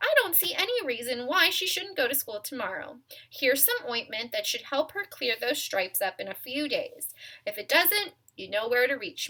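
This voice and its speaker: Putting on a character voice, a woman mumbles at a moderate pace in a high pitch, with very wide pitch swings and big swings in loudness. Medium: read story. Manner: brisk, mumbling.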